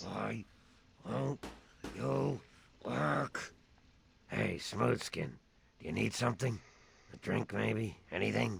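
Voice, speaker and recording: In a put-on character voice, a man speaks raspy and very deep, at a very slow pace with long, frequent pauses. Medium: video game.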